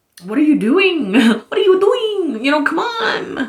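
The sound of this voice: A woman uses a put-on character voice, high in pitch with very wide pitch swings. She keeps a moderate pace.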